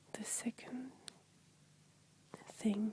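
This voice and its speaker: A woman whispering. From France. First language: French. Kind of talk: ASMR talk to camera. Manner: relaxing, soft-spoken.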